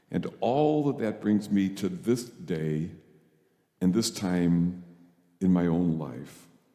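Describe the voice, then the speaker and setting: Delivered at a very slow pace with long, frequent pauses, the dark, mellow voice carries audible room echo. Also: man, very deep, low pitch for a man, lively intonation. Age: 70s. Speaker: priest. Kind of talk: sermon.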